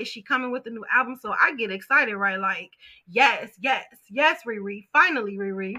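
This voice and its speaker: Projecting a raised voice in a bright, sharp tone, a woman talks at a fairly quick pace. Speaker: live show host. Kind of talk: casual live commentary on trending stories. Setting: live stream. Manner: fast talker, gets faster when excited.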